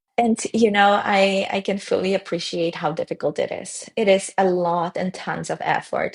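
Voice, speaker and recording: A woman in a Polish accent, at a fairly slow pace with fairly even intonation. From Poland. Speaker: tech founder. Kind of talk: podcast interview.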